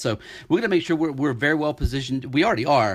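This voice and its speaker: Talking very fast with ordinary pitch variation, a man is heard on a very clean recording with a silent background. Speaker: investment newsletter analyst. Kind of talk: market update podcast walking through charts. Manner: animated, with frequent repetitions and fillers.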